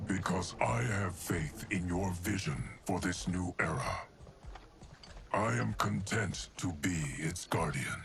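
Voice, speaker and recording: This man talks at a fairly slow pace in a put-on character voice. His pitch is very deep and low. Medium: video game. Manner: measured, solemn.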